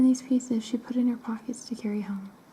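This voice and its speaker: Soft-spoken, fairly quick delivery against noticeable background noise. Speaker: ASMR storyteller. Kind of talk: reading aloud.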